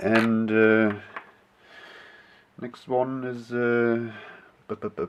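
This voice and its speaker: A man with a non-native accent and a medium pitch, speaking at a very slow pace. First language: not English. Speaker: clay sculptor, video creator. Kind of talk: casual show-and-tell. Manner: halting, many fillers and repeats.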